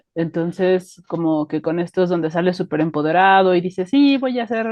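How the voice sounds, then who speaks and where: A woman with a central Mexican accent speaks at a medium pitch with lively intonation. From Mexico, Estado de México. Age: 30s. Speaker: life coach. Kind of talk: casual interview chat.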